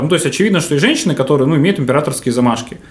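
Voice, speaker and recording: A man speaks with lively intonation and a fairly high pitch. His voice is somewhat breathy. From Novosibirsk, Russia. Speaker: hotel manager. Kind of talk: casual interview. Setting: hotel room studio.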